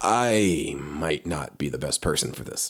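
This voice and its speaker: A man puts on a raspy character voice with very deep, low pitch. He goes at a fairly slow pace with lively intonation. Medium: audio drama. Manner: blunt, gruff.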